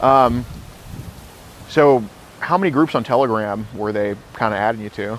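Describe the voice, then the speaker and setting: A man speaks at a moderate pace and medium pitch, with ordinary pitch variation and long, frequent pauses. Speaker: predator-catcher confronting a suspect. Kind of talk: confrontational interview. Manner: loud.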